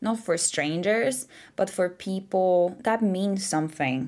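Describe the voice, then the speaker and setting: A woman's medium-pitched voice, dark and mellow in tone, with lively intonation and a fairly slow pace, on a very clean recording against a silent background. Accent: non-native. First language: not English. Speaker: tarot reader. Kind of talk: pick-a-card tarot reading to camera.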